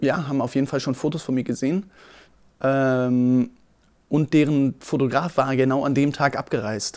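In a plain, everyday voice, a man speaks at medium pitch and a moderate pace. His intonation stays fairly even. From Berlin. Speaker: photographer and videographer. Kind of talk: casual storytelling.

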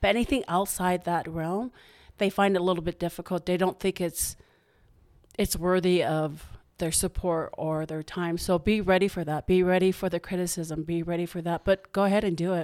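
A woman with a normal speaking voice talks at a moderate pace, her fairly low pitch moving in fairly even intonation, on a very clean recording with a silent background and a dry, close sound with no echo. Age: 50s. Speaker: boutique owner. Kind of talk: casual chat.

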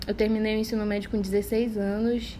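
With audible room echo and noticeable background noise, a woman keeps up a fairly quick pace. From Parintins, Amazonas, Brazil. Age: 20s. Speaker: podcast co-host, medical school applicant. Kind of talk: casual chat.

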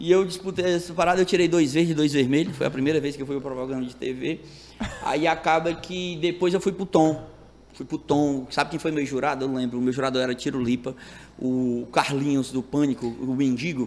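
A man talks at a fairly quick pace in an ordinary speaking voice, fairly high pitched with ordinary pitch variation. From Brazil, Ceará (Itarema, countryside). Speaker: stand-up comedian. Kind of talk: casual chat.

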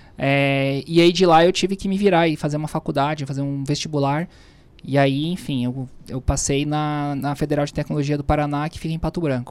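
This man talks at a fairly quick pace with a fairly high pitch. His intonation stays fairly even. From southern Brazil, Florianópolis. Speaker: tax official. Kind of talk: interview. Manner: halting.

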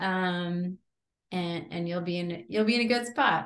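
In a normal speaking voice, a woman speaks with an American accent. Her pace is moderate, with ordinary pitch variation. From Connecticut. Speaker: college athletics administrator. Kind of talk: interview.

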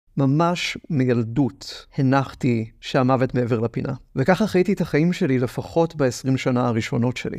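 A man speaks at a fairly slow pace in a normal speaking voice with a fairly high pitch. His pitch variation is ordinary, and the background is quiet. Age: 20s. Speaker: podcast host and theatre producer. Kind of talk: personal monologue podcast. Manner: wry, reflective.

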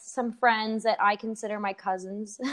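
A woman speaks with a Canadian accent. Her pitch sits fairly high. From Canada. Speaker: student abroad and performer. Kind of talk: casual chat. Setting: long-distance online call. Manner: fast talker.

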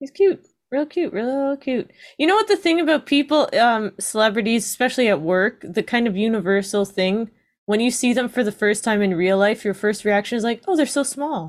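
A normal speaking voice from a woman, fairly high-pitched with lively intonation at a moderate pace, on a very clean recording with a silent background. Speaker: podcast co-host, works in film and TV. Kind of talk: casual chat.

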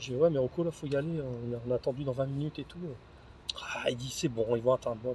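Against noticeable background noise, a man speaks very fast at a medium pitch with fairly even intonation. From northern France, Lille. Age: 40s. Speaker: office worker sharing libertine lifestyle experiences. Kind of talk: casual chat over wine, storytelling. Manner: halting, repetitive.

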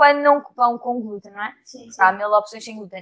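With a European Portuguese accent, a woman talks at a moderate pace in a high pitch with ordinary pitch variation. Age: 20s. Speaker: actress. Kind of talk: casual chat.

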